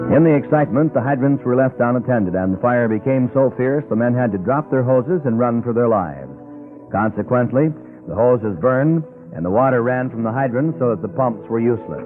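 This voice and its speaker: A man talks with a medium-pitched voice. Behind him, music plays. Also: ordinary pitch variation, fairly quick pace. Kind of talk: vintage radio history narration. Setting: old radio broadcast, restored from cassette.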